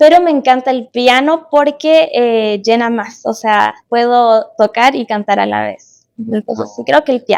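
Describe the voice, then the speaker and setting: Speaking at a fairly slow pace and a high pitch, a woman shows ordinary pitch variation and hardly any pauses in a very clean recording with a silent background. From Chile, Concepción. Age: 20s. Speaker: musician. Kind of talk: casual chat. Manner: hesitant, many fillers.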